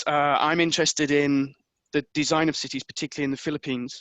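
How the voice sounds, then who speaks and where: A man with an English accent and fairly high pitch, in a dry, close sound with no echo and a quiet background. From England. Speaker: history professor. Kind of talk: lecture. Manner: hesitant, with fillers.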